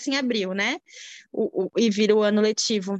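The speech moves at a fairly slow pace against a quiet background. The sound is dry and close, with no echo. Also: woman. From Brazil. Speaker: immigrant mother. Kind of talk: casual interview chat. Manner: halting.

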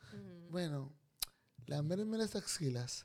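Delivered at a fairly slow pace, the voice has an animated tone and very wide pitch swings. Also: man. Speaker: podcast host. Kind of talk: casual banter interview. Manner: animated, joking.

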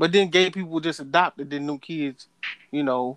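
A man with a fairly high voice speaks at a fairly slow pace. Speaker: podcast co-host. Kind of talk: casual banter.

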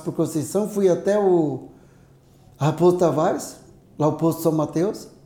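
At a moderate pace, a man speaks in a high voice with a dark, mellow tone. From interior of São Paulo state, Brazil. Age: 60s. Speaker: retired biology teacher and ultramarathon runner. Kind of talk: casual interview.

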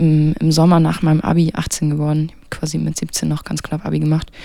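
At a moderate pace, a woman talks in a fairly low voice, an ordinary speaking voice. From Mecklenburg-Western Pomerania, near Schwerin. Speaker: jazz trumpeter. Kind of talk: casual interview.

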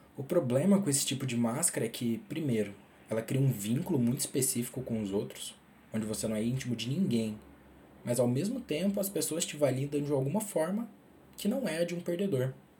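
Talking at a fairly quick pace, a man uses a fairly high pitch, a somewhat breathy, dark, mellow tone, and lively intonation. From Minas Gerais, Brazil. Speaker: podcaster. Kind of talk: personal monologue.

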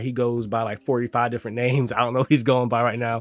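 Music plays behind a man talking at a fairly quick pace. His medium-pitched voice is monotone and flat. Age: 20s. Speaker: streamer and podcast host. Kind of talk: casual solo monologue. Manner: casual, filler-heavy.

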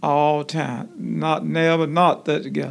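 The speaker is a man with a fairly high pitch. He talks at a fairly slow pace. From Alabama, US South. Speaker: retiree, senior center member. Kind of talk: interview.

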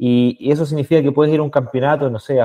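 A man speaks in a dark, mellow tone against a quiet background. The sound is dry and close, with no echo. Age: 30s. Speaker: sales manager. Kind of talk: casual interview.

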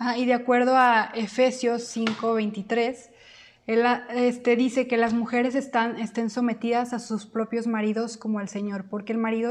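A woman speaks at a fairly high pitch. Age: 20s. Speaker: podcast co-host, university student. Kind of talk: casual chat.

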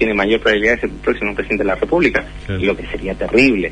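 Very fast speech from a man, with noticeable noise behind it. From Chile. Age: 40s. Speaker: journalist. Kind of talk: interview.

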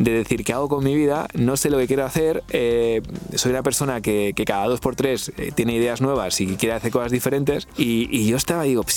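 Music plays in the background while a man speaks. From Spain, Valladolid. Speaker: podcaster. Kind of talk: interview conversation. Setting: studio.

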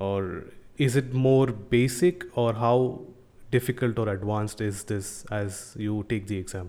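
A man speaks in a fairly low pitch. His tone is dark and mellow. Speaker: podcast host. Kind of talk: casual chat.

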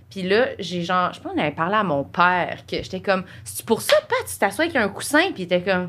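A plain, everyday voice from a woman at a medium pitch, fairly quick in pace with lively intonation, in a very clean recording with a silent background. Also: big swings in loudness. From Quebec, Saint-Jean-sur-Richelieu. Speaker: podcast co-host. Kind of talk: casual chat.

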